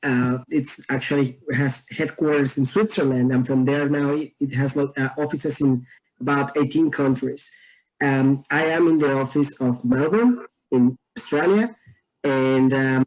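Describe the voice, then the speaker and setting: A man with a Mexican accent speaks at a fairly high pitch. His pace is fairly slow and his intonation fairly even. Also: very even loudness. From Mexico. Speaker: environmentalist and dancer. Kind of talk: casual interview chat.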